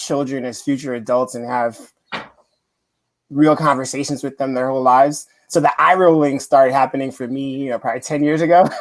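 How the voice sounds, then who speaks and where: A man talks in a monotone, flat intonation at a fairly high pitch. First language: not English. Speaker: parent panelist. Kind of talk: panel discussion.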